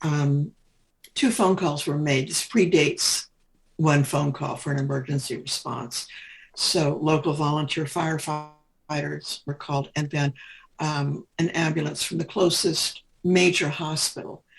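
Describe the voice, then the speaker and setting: A woman with a Midwestern accent speaks in a very deep, low pitch, somewhat breathy. She goes at a fairly slow pace with ordinary pitch variation. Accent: General American (Midwest). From Kansas, US Midwest. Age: 70s. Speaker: retired nurse. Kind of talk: interview. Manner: halting, with many fillers.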